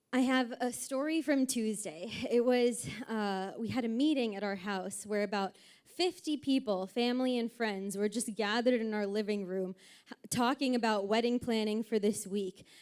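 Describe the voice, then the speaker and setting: A woman speaks at a fairly high pitch. She has an ordinary speaking voice. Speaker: family member giving wedding speech. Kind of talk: wedding reception speech.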